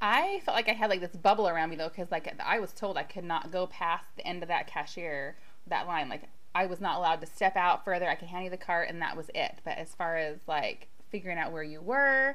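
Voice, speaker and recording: Audible room echo surrounds a woman with a fairly low voice who talks at a fairly quick pace with ordinary pitch variation. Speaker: extreme couponer. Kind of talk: casual chat.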